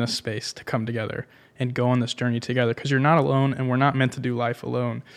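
A man with an American accent, medium in pitch, in a monotone, flat delivery. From Tampa, Florida. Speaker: podcast producer. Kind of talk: casual chat.

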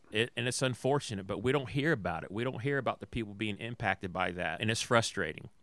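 At a very fast pace with hardly any pauses, a man speaks with ordinary pitch variation. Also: medium pitch for a man. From US South. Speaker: podcast host. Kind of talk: casual chat. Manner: halting.

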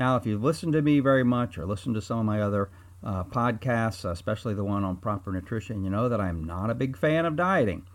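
A man in a normal speaking voice, lively intonation at a fairly quick pace, on a very clean recording with a silent background. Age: 60s. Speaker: chiropractor and health podcast host. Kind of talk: solo health talk. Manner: casual, with filler words.

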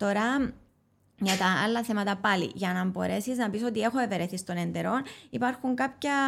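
In a very clean recording with a silent background, a woman with a Cypriot accent speaks at a moderate pace. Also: medium pitch for a woman, ordinary pitch variation. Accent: Cypriot Greek. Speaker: molecular biologist and author. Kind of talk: expert interview. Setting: studio. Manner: halting, many fillers.

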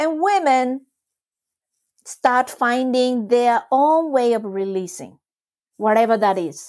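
In a Japanese accent, the speaker uses lively intonation on a very clean recording with a silent background. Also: woman. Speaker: trauma release exercise teacher. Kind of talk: casual interview explanation.

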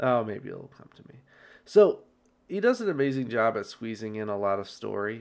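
A man is speaking. His pace is fairly quick. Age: 30s. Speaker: book podcast host. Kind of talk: solo book review. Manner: halting, many fillers.

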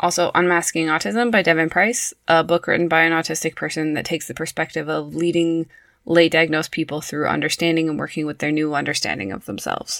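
A woman talks very fast with hardly any pauses, her pitch fairly low and its variation ordinary. The recording is very clean, with a silent background. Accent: western Canadian. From Prince George, British Columbia, Canada. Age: 30s. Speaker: early childhood educator and podcast host. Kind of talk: scripted solo podcast narration.

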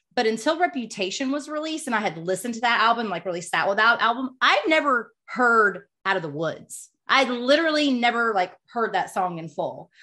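Over a quiet background, a woman speaks at a fairly quick pace in a fairly high pitch, her bright, sharp tone marked by very wide pitch swings. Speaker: podcast co-host. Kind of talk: casual chat.

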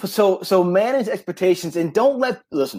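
The voice has a dark, mellow tone and lively intonation, captured in a very clean recording with a silent background. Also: man. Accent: American. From New York. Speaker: retired army career counselor, career coach. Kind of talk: casual interview. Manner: fast; animated.

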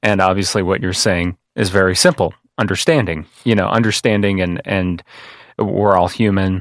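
On a very clean recording with a silent background, a man with an American accent and a normal speaking voice talks at a moderate pace, his fairly low pitch showing ordinary variation. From US Midwest, Kankakee, Illinois. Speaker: podcast host. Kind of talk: casual interview. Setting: studio.

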